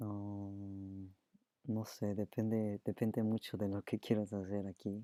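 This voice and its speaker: A very slow, monotone, flat man's voice, fairly low in pitch with a dark, mellow tone and a Spanish accent, in a dry, close sound with no echo. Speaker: streamer and artist. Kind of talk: live stream Q&A. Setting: live stream.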